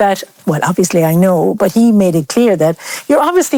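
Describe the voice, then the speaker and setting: This woman speaks at a fairly quick pace with an Irish accent. Her pitch sits in the medium range. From Ireland. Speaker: interviewee on race in Ireland. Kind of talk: group conversation.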